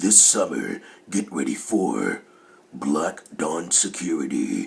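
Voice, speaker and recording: A man adopts a put-on character voice, pitched very deep and low. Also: fairly slow pace. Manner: dramatic.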